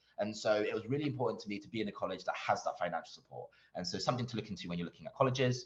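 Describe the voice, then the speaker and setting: A man with a London accent speaks with lively intonation. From East London. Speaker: doctor and medical school interviewer. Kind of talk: Q&A at online conference.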